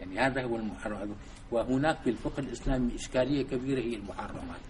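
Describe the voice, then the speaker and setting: A man speaks with fairly even intonation. Noticeable background noise and audible room echo surround his voice. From Syria, Damascus. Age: 70s. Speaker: Islamic thinker and civil engineer. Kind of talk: lecture. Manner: halting.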